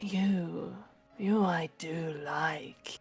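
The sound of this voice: Someone speaks softly in a put-on character voice while faint music plays in the background. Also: woman, fairly low pitch for a woman.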